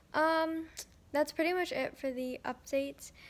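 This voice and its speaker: Her intonation fairly even, the woman keeps her delivery level. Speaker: vlogger. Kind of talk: casual vlog chat. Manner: slurred, sore-jawed post-surgery speech. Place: home room. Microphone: phone near.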